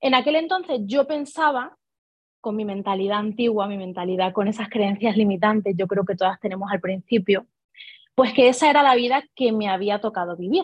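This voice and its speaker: The speaker talks at a fairly quick pace in a somewhat breathy voice, with ordinary pitch variation. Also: woman, fairly high pitch for a woman. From Spain, Ibiza then Seville province. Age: 20s. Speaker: network marketing leader. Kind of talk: interview.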